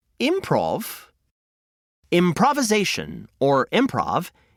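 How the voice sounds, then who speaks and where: In a very clean recording with a silent background and a dry, close sound with no echo, a man speaks fairly slowly with vocal fry and very wide pitch swings. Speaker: podcast host and storyteller. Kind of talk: children's storytelling podcast narration.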